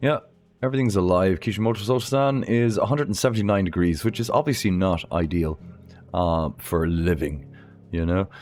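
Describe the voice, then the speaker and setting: Over music in the background, a man with an Irish accent speaks at a fairly quick pace in a very deep, low pitch, his tone animated, his intonation lively, and his loudness very even. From Ireland. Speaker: gaming streamer. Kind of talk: live game commentary.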